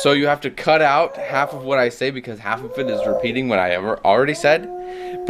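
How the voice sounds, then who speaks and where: Speaking at a fairly quick pace with hardly any pauses, the voice comes through over noticeable background noise. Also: man. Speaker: vlogger.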